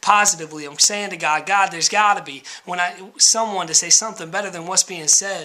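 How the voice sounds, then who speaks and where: A man's high, raised and projected voice at a fairly quick pace, with noticeable background noise. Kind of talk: spoken word poetry.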